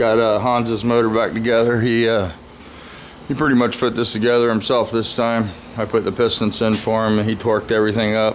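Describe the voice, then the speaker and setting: Speaking fairly quickly in a monotone, flat delivery at very even loudness, a man is heard with audible room echo and noticeable background noise. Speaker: VW mechanic and body shop YouTuber. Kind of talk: casual vlog. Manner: hesitant, many uh fillers.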